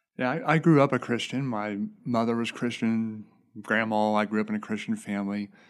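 A man with a Midwestern US accent talks at a fairly quick pace with fairly even intonation over a quiet background. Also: medium pitch for a man. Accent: US Midwest. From Indiana, Fowler area. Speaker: foster and adoptive father. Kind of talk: casual chat.

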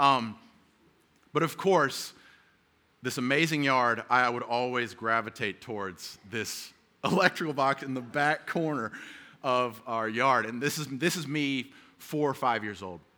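A man with an American accent speaks at a fairly slow pace in a bright, sharp tone, his medium pitch showing ordinary variation, with long, frequent pauses on a very clean recording with a silent background. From US South. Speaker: preacher. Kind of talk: sermon. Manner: halting.

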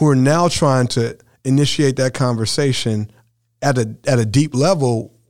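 Here a man speaks at medium pitch and a moderate pace. His pitch variation is ordinary. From Indiana, US Midwest. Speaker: pastor. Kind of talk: panel discussion.

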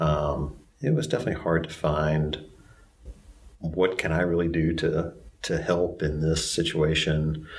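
In a Southern US accent, a man with a very deep, low voice speaks in a flat monotone at very even loudness, leaving long, frequent pauses as the room echo stays audible. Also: fairly slow pace. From upstate South Carolina, Greenville-Spartanburg. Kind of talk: personal testimony interview.

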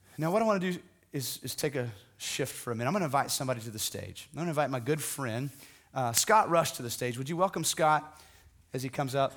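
A man talks at a very fast pace, his pitch fairly high and his intonation lively. The recording is very clean, with a silent background. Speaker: pastor. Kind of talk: sermon. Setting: church.

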